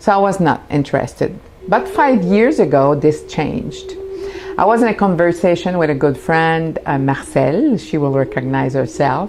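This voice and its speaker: A woman speaks at a moderate pace with a French accent. Background noise is noticeable. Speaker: spiritual teacher. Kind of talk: announcement. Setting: home studio.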